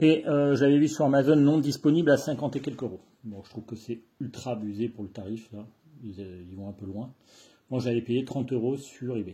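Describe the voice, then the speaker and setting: A man talks at a fairly quick pace in a dark, mellow, somewhat breathy tone. His pitch varies in an ordinary way against a quiet background. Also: medium pitch for a man. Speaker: bushcraft youtuber. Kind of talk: product review. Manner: casual.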